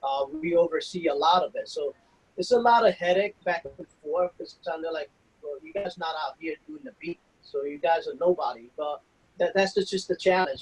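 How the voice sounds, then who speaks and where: The speaker has a strong New York accent. The pace is fairly quick. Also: man. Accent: heavy New York City. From New York City, the Bronx (Puerto Rican family). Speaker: federal law enforcement officer. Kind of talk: interview. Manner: casual, hesitant with fillers.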